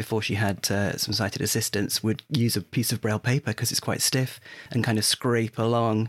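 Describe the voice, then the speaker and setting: A man speaks with a southern English accent. The sound is dry and close, with no echo. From southern England, Hertfordshire. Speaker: podcast co-host. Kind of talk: casual chat.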